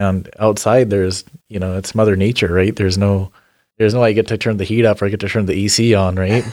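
In a very clean recording with a silent background, a man talks very fast in a fairly low, monotone, flat voice. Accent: American. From Washington State, US Pacific Northwest. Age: young. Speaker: berry farmer. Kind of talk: casual interview.

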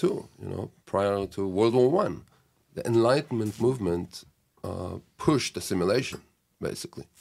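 The recording is very clean, with a silent background. A man with an Israeli accent speaks at a moderate pace with a fairly low pitch and a dark, mellow tone. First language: Hebrew. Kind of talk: casual chat. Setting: studio.

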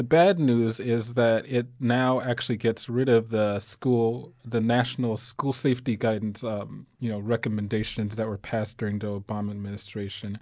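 Against a quiet background, the speaker uses a normal speaking voice. The intonation is fairly even, with hardly any pauses. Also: man, medium pitch for a man, moderate pace. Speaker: radio co-host and organizer. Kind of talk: casual radio talk. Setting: studio.

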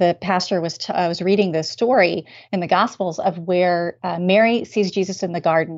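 A woman's fairly low-pitched, a normal speaking voice with an American accent, at a moderate pace with fairly even intonation. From US South, Raleigh, North Carolina. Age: 40s. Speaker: guest with chronic illness. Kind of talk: testimony.

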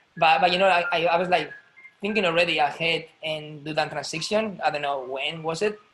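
A high-pitched man speaks in a Spanish accent. His pace is moderate and his intonation fairly even. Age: 30s. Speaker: ballet dancer. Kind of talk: casual chat. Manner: halting.

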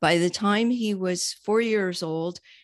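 A woman talks with a normal speaking voice at a fairly slow pace. Her intonation is fairly even against a quiet background. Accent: American. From New York. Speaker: accountant. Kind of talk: interview.

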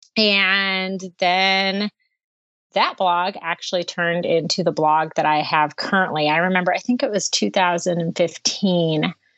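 A woman with a plain, everyday voice, medium pitch, fairly even intonation and a fairly slow pace. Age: 40s. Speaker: writer. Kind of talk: casual chat.

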